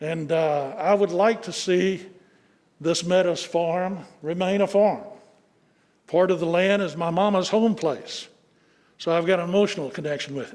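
With a Middle Tennessee accent, a man speaks at a high pitch and a moderate pace, using fairly even intonation and long, frequent pauses. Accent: Southern US (Middle Tennessee). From Tennessee (Sumner County), US South. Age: 70s. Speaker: local resident and landowner. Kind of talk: public comment at county commission meeting. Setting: county commission chambers.

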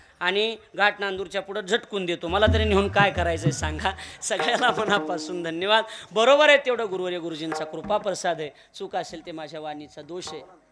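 Amid noticeable background noise, a man with a high pitch talks with ordinary pitch variation and big swings in loudness. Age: 20s. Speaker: kirtan preacher. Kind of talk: devotional sermon (kirtan). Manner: emotional, declamatory.

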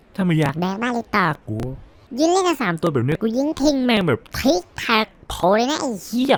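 A man puts on a character voice pitched high. His pitch swings very widely throughout. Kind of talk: comedic parody dub. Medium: dub.

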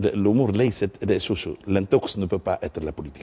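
There is some breathiness in the voice. The tone sounds dark and mellow. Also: man. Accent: Tunisian. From Tunisia. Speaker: politician, member of parliament; politician. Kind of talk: political talk show debate. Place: studio. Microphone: lapel.

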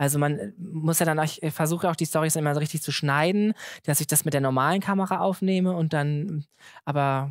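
On a very clean recording with a silent background, a man with a fairly high pitch talks at a fairly quick pace, with fairly even intonation and very even loudness. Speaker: comedian and social media content creator. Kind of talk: live podcast conversation. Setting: stage with live audience. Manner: fast.

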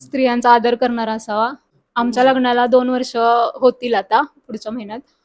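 Her high-pitched voice stays monotone and flat, recorded with a dry, close sound and no echo. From Maharashtra, Satara district. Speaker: farmer's wife, matchmaking client. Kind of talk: testimonial interview.

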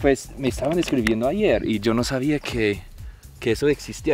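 With faint music in the background, a man speaks at a moderate pace with ordinary pitch variation, and the sound is dry with no echo. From United States. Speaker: travel vlogger. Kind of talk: casual talk to camera. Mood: delighted, enthusiastic. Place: open country. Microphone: phone near.

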